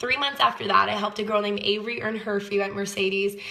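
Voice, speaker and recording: The speech runs at a very fast pace with fairly even intonation over noticeable background noise. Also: woman. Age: 20s. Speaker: network marketing sales leader. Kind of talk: personal testimony sales pitch.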